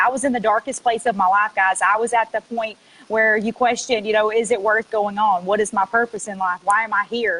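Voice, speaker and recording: A woman with a fairly high pitch speaks with a Mississippi accent. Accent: Southern US (Mississippi). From US South, South Mississippi. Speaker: network marketing affiliate. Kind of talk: testimony. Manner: casual, many filler ums.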